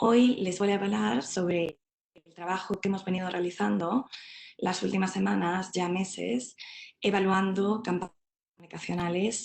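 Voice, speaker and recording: A woman speaks with a Spanish accent at a moderate pace. Her pitch is fairly low. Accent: Spanish (Spain). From Spain. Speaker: behavioural science researcher. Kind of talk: webinar presentation.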